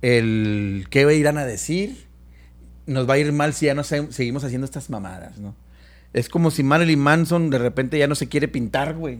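In a normal speaking voice, a man with a fairly high pitch and ordinary pitch variation talks at a moderate pace. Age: 50s. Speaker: musician. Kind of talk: casual chat.

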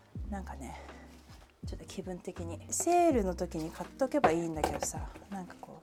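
A woman's voice moves along fairly quickly. Noticeable noise sits behind it. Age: 30s. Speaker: podcast host. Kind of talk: casual solo chat. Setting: home kitchen.

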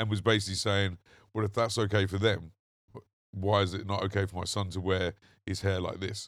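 A man in a London accent, fairly low in pitch, monotone and flat, at a fairly quick pace with long, frequent pauses, on a very clean recording with a silent background. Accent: generic London English. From southern England. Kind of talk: casual chat. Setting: outdoors.

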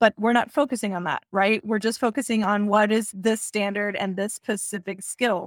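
A woman with an American accent speaks in a plain, everyday voice at medium pitch and a moderate pace. Her intonation is fairly even, with hardly any pauses. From Texas. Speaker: educational technology coordinator. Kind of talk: interview conversation. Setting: video call.

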